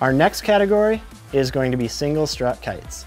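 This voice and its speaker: Faint background music accompanies a man talking at a moderate pace. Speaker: presenter. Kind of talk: product review presentation. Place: studio.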